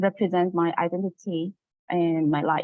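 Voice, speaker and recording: A woman with a Chinese accent, at a fairly slow pace. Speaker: teacher and graduate student. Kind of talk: academic presentation.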